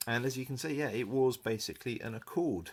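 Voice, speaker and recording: Speaking at a moderate pace, this man has an English accent. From England. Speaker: car enthusiast vlogger. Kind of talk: casual review. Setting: spare bedroom at home. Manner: hesitant, many fillers.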